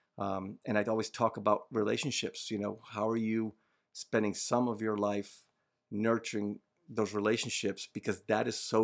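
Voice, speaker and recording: On a very clean recording with a silent background, a man speaks at a fairly low pitch in monotone, flat intonation. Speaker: holistic health coach. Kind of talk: casual chat. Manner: calm.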